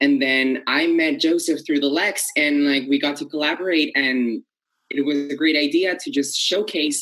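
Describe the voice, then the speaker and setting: A man speaks in a Spanish accent, his voice pitched fairly high. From Colombia. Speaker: theater performer and arts educator. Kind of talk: TV news interview.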